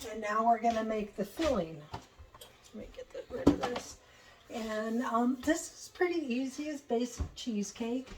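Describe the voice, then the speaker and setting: Lively intonation from a woman with a fairly high pitch, at a moderate pace over noticeable background noise. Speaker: home cooking channel host. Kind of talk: cooking tutorial. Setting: home kitchen. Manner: casual, hesitant with fillers.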